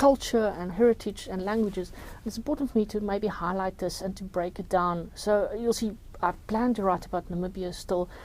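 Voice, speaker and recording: A woman at medium pitch, fairly quick, with ordinary pitch variation. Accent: South African. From South Africa. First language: Afrikaans. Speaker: journalist and crime novelist. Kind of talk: interview. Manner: halting, with fillers and repetitions.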